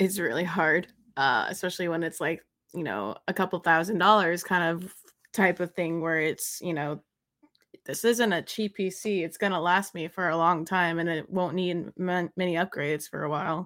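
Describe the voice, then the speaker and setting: In a normal speaking voice, a woman with a fairly low pitch and ordinary pitch variation talks at a moderate pace on a very clean recording with a silent background. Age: 20s. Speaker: streamer. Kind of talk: casual chat.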